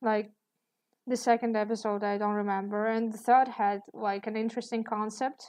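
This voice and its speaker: Against a quiet background, a woman with a non-native accent speaks at a moderate pace in a fairly high voice with monotone, flat intonation. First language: not English. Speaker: artist streaming while drawing. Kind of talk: casual live stream chat. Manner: hesitant, many fillers.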